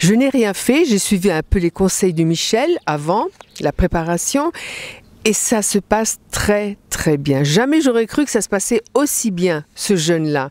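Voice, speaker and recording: A woman at medium pitch, very slow in pace, with very wide pitch swings, in a dry, close sound with no echo. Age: 60s. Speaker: fasting retreat participant. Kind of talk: interview testimony. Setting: mountain retreat at 1800 m altitude.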